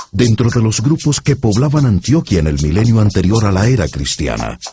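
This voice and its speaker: The voice is somewhat breathy, moving at a moderate pace with very wide pitch swings. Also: man. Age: middle-aged. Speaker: voice-over narrator. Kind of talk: documentary narration. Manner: formal.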